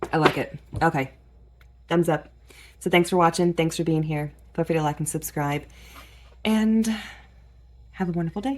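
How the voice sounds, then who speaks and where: Quiet and fairly low in pitch, a woman speaks at a moderate pace with ordinary pitch variation and long, frequent pauses. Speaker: gardening YouTuber. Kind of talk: casual tutorial vlog. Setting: in a garage at night. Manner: quiet, keeping voice down.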